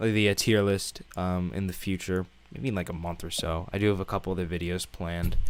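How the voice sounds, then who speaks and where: A man with an American accent speaks in a very deep, low pitch, his intonation monotone and flat. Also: fairly quick pace. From Massachusetts. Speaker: YouTuber streaming with friends. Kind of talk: casual chat. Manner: halting, filler-heavy.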